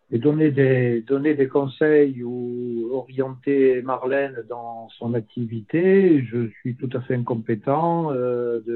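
A man at a medium pitch, with fairly even intonation and a very slow pace. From southern France (Lozère). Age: 60s. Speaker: retired land surveyor. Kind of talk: interview.

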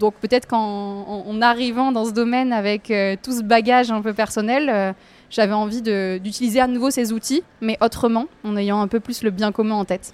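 With a slight southern French accent, the speaker keeps a moderate pace and fairly even intonation on a very clean recording with a silent background. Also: woman, fairly high pitch for a woman. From southern France, near an industrial lagoon. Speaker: environmental campaigner. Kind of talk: casual interview. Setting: café.

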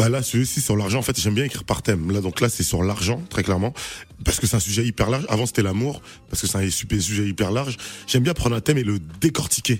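At a very fast pace, a man talks in a fairly low voice with ordinary pitch variation. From Paris suburbs, France (Haitian family). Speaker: comedian. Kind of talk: stand-up; radio interview. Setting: stage with audience; studio.

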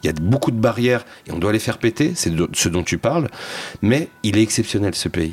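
A man of medium pitch with noticeable background noise. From France, Seine-Saint-Denis (Paris suburbs). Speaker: social entrepreneur and documentary filmmaker. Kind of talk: casual interview chat.

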